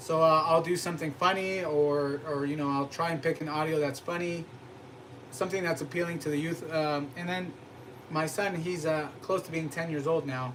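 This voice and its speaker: Noticeable noise in the background behind a moderate pace and monotone, flat intonation. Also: man, fairly high pitch for a man. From US, Mexican-American family. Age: 30s. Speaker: cooking channel host. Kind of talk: casual live-stream chat. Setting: live stream.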